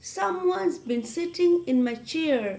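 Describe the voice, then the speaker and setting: A woman speaks in a put-on character voice with a high pitch. Her pace is fairly slow. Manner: growling.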